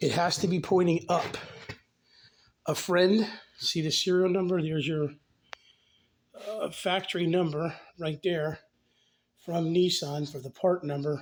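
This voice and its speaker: Pausing long and often, a man speaks fairly slowly in a high pitch with fairly even intonation. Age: 50s. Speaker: DIY car repair video maker. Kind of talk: tutorial. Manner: casual.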